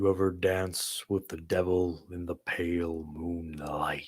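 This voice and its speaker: On a very clean recording with a silent background, a man in a put-on character voice speaks at a very deep, low pitch, fairly slowly and in a flat monotone. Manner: menacing, theatrical.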